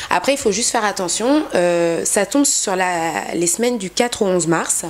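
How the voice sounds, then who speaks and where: In an ordinary speaking voice, a woman of medium pitch talks at a moderate pace with lively intonation. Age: 20s. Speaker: travel agency founder. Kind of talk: interview.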